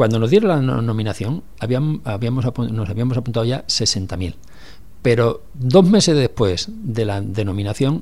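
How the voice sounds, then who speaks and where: At a fairly slow pace, a man talks in a medium pitch, somewhat breathy, with a dark, mellow tone. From Catalonia, Barcelona. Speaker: former city councillor. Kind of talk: radio interview. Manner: halting, with many repeated words.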